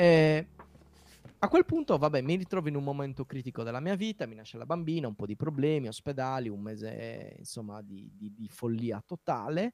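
Speaking with a Sardinian accent at a fairly quick pace, a man with medium pitch shows big swings in loudness, recorded with a dry, close sound and no echo. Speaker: software developer and podcast host. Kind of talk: casual interview.

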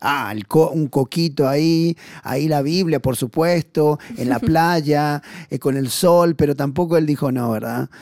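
A man speaks in a plain, everyday voice with a fairly high pitch. His pace is fairly slow, with ordinary pitch variation. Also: dry, close sound with no echo. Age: 40s. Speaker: missionary. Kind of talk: testimony.

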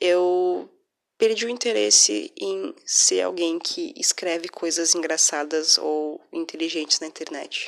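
Soft-spoken and fairly low in pitch, a woman talks at a very slow pace with very wide pitch swings. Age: 20s. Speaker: podcaster. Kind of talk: personal monologue.

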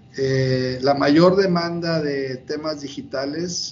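With audible room echo around him, a man speaks at a fairly high pitch with fairly even intonation. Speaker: bank executive. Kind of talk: interview. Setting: video call.

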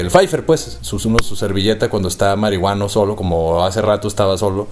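Over noticeable background noise, a man with a Mexican accent talks at a moderate pace. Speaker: podcast host. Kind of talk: casual chat.

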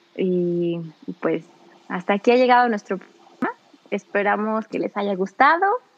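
Amid noticeable background noise, a woman at a medium pitch talks at a fairly slow pace with ordinary pitch variation, the sound dry and close with no echo. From Mexico, Celaya, Guanajuato. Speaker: radio host. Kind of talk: casual chat.

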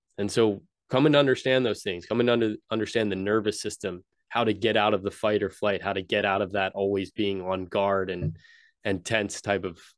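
Over a quiet background, a man with an ordinary speaking voice and a fairly low pitch talks at a moderate pace with fairly even intonation. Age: 30s. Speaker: holistic health coach and podcast host. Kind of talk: solo podcast monologue, personal story. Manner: casual with frequent fillers and repetitions.

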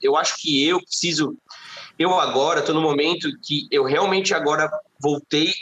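A man with a plain, everyday voice talks at a moderate pace and a fairly high pitch, with ordinary pitch variation. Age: 30s. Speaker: singer-songwriter. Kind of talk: casual chat.

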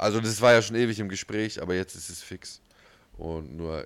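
The tone of this man's voice is animated. Ordinary pitch variation runs through his speech. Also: very clean recording, silent background. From southern Germany (Ulm, Swabia). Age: 30s. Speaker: podcast co-host. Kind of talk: casual chat.

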